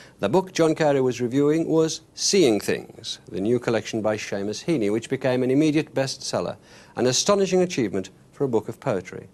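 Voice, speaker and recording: In a normal speaking voice, a man of medium pitch talks at a fairly quick pace with lively intonation. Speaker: TV arts interviewer. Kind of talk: TV documentary introduction.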